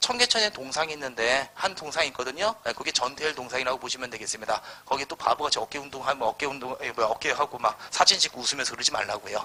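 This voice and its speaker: A man talks very fast at a fairly high pitch with hardly any pauses. His pitch varies in an ordinary way, and there is noticeable background noise. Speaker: history lecturer. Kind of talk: lecture. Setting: live classroom lecture. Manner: animated.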